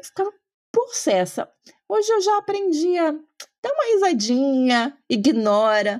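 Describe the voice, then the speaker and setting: A woman's high-pitched voice moves at a fairly slow pace, swinging very widely in pitch. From Brazil, Paraná. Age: 30s. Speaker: political scientist. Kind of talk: interview conversation.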